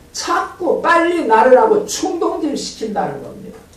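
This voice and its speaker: Over noticeable background noise and audible room echo, a man speaks at a very slow pace with very wide pitch swings. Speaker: pastor. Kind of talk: sermon. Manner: animated.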